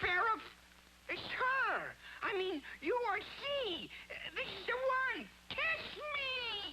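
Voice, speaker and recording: A cartoonish character voice at an extremely high pitch speaks at a very slow pace, with long, frequent pauses and clear background noise. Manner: wisecracking, brash.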